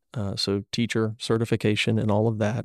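A man's plain, everyday voice at a medium pitch and a fairly slow pace, in a very clean recording with a silent background and a dry, close sound with no echo. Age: 40s. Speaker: minister. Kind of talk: casual chat.

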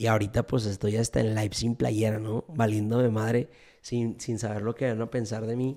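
Over a silent background in a very clean recording, a man speaks at medium pitch and a moderate pace with a dark, mellow tone. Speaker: podcaster. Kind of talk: casual livestream monologue. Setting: Instagram live stream. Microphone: studio microphone.

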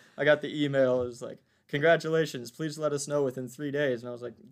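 A fairly high-pitched man with an American accent, very fast and flat in a monotone. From US South, Virginia (Waynesboro). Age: 20s. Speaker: community service team leader. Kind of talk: interview.

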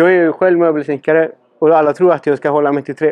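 With a Spanish accent, a man speaks fairly quickly at a fairly high pitch, keeping his intonation fairly even. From Chile. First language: Spanish (speaking Swedish). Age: 30s. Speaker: podcast host and cabinetmaker. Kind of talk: casual interview.

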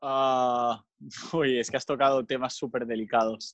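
Here a man speaks at medium pitch. His pace is fairly slow. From Spain (Mallorca). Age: 20s. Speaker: volunteer educator running a social project. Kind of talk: casual interview chat.

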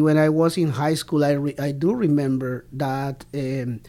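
The speech comes at a very slow pace with a Spanish accent. The recording is very clean, with a silent background. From Colombia, Bogota. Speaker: podcast host, language educator. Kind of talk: interview conversation. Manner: halting, many fillers.

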